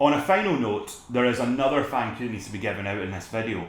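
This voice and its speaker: A man speaks very fast in a Scottish accent, his voice at a medium pitch with lively intonation. Audible room echo surrounds his words. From Scotland. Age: 20s. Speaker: photographer, video blogger. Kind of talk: casual vlog talk to camera. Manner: relaxed.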